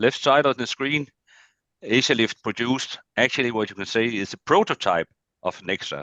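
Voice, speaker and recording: A man speaks at a fairly quick pace with a Danish accent. His tone is bright and sharp, and the sound is dry and close with no echo over a quiet background. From Denmark. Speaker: agricultural machinery business development manager. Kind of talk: presentation. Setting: video call.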